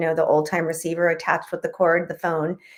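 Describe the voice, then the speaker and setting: With a Spanish accent, a woman talks in a monotone, flat delivery, recorded very cleanly against a silent background. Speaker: author. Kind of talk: interview.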